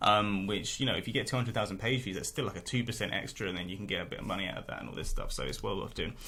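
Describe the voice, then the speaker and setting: A man with a British accent, bright and sharp in tone, very fast, with ordinary pitch variation. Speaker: niche site blogger. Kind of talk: income report vlog. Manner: casual with many fillers.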